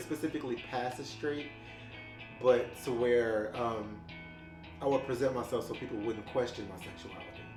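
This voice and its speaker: With music in the background, someone talks at a moderate pace and ordinary pitch variation. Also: man. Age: 30s. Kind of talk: oral history interview answer. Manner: casual, hesitant.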